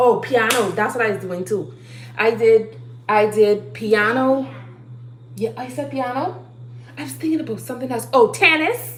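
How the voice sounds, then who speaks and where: A woman at a moderate pace in an animated tone, with long, frequent pauses, noticeable background noise and audible room echo. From Bahamas. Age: 30s. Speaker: livestreamer. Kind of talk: motivational talk.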